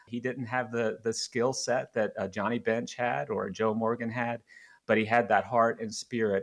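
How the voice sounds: At a moderate pace, a man speaks with medium pitch, vocal fry and little pitch movement.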